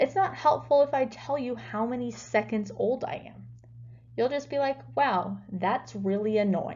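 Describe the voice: Her tone is dark and mellow as the woman speaks at a fairly high pitch. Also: ordinary pitch variation, fairly slow pace.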